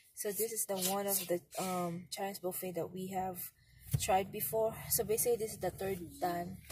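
At a moderate pace, a somewhat breathy woman with a dark, mellow tone speaks in a monotone, flat intonation, with a dry sound with no echo and noticeable background noise. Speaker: family vlogger. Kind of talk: casual vlog chat. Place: car. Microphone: phone near.

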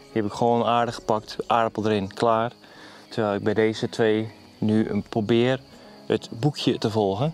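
A man speaks in a dry sound with no echo. Faint music plays in the background. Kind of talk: casual vlog chat. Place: garden.

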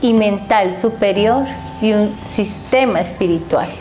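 Faint music plays behind a woman who speaks very slowly with ordinary pitch variation. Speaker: spiritual teacher. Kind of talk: spiritual teaching talk. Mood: calm, warm. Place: home room. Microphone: lapel.

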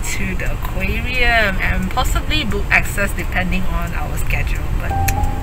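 A woman speaks in a dry sound with no echo, with clear music in the background. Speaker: vlogger. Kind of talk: casual vlog chat. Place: car. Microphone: phone near.

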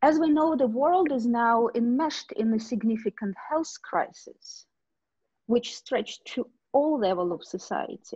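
This woman has a Russian accent and a high pitch, her tone dark and mellow. She talks at a fairly slow pace with lively intonation over a quiet background. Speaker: discussion moderator, academic; discussion moderator. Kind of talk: moderating an online panel discussion. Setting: video call webinar. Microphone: video call.

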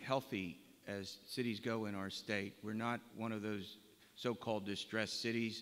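A man talks at a medium pitch and a moderate pace. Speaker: forum moderator. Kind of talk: moderating a panel. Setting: college gymnasium with audience. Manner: lecture voice. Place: hall. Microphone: podium.

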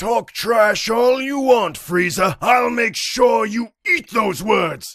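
A man does a high-pitched cartoonish character voice. He goes at a very slow pace with hardly any pauses. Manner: angry, arrogant, snappy.

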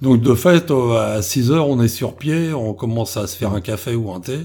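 A man's dark, mellow, somewhat breathy voice at a fairly quick pace, with ordinary pitch variation. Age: 50s. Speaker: explorer on cryptid expeditions. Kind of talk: interview.

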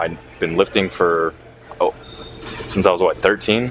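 A man speaks with a very deep, low pitch at a moderate pace and fairly even intonation. The sound is dry with no echo, and music plays in the background. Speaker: vlogger. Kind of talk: casual vlog chat. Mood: slightly anxious, reflective. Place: gym. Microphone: lapel.

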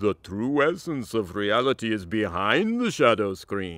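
This is a cartoonish character voice. A man puts it on at a fairly low pitch. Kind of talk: solemn philosophical speech. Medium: puppet.

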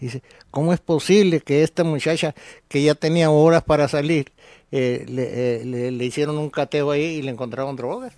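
The recording is dry with no echo. A man with a fairly high pitch speaks in a dark, mellow tone. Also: ordinary pitch variation, moderate pace, quiet background. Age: 70s. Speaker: lawyer. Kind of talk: interview. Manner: halting. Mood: grave, resigned but determined. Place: studio. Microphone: studio mic.

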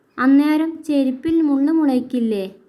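A female-sounding voice does a cartoonish character at a high pitch. She talks at a fairly slow pace. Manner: whiny, naive.

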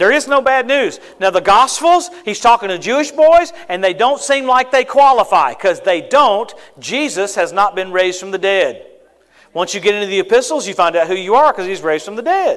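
Over a quiet background, a high-pitched man with an American accent speaks at a fairly quick pace in an animated tone, swinging very widely in pitch. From US South, Louisiana. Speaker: travelling preacher. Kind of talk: sermon. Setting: church service. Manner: animated, punchy preaching cadence with rapid asides and call-and-response amens; quick-fire, repetitive stammering starts when building a point. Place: church. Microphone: lapel.

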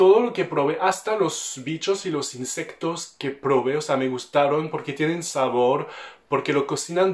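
A man speaks at a fairly slow pace in a fairly high pitch, with ordinary pitch variation. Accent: French. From France. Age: 20s. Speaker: French vlogger talking about Mexico. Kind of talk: casual talk to camera. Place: home room.

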